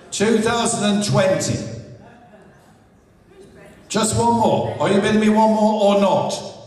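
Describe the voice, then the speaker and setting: A high-pitched man's voice, fairly slow with long, frequent pauses, in a room with audible echo. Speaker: charity auctioneer. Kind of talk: live auction, auctioneer patter. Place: hall.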